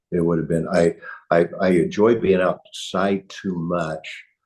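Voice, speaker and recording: A man is speaking. He has a Midwestern US accent. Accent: US Midwest. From Kansas (Hutchinson). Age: 70s. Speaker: chiropractor. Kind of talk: podcast interview. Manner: halting, with many repeats.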